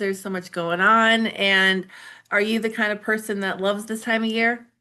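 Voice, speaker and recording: Her tone comes across as bright and sharp. The woman keeps a moderate pace. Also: quiet background. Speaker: podcast host. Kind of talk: podcast interview host.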